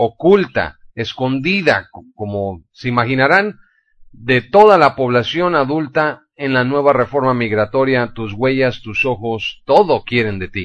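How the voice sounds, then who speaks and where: With lively intonation and a medium pitch, a man speaks in an unremarkable speaking voice. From Mexico. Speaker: news radio host. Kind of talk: news commentary.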